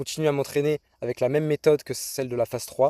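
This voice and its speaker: Delivered at a very fast pace, the speech has a dark, mellow tone, fairly even intonation, and a dry, close sound with no echo. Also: man. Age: 20s. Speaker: fitness youtuber. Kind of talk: vlog monologue. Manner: casual.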